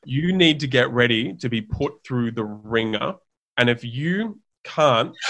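With an Australian accent, this man talks at a medium pitch and uses ordinary pitch variation. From Australia, Sydney. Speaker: herbal brand founder. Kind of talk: casual interview chat. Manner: animated.

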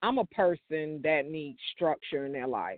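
A woman speaks with fairly even intonation. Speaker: truck driver and blogger. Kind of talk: live interview.

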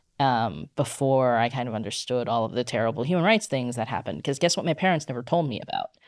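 The speech is very fast with hardly any pauses and lively intonation. The background is quiet. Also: woman, very deep, low pitch for a woman. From United States, Chinese immigrant family. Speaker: podcast co-host. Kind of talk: casual chat.

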